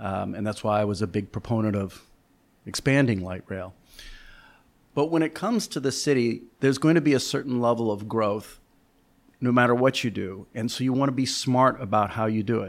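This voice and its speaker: A man with an ordinary speaking voice, medium in pitch, at a fairly quick pace with ordinary pitch variation. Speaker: real estate executive. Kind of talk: interview.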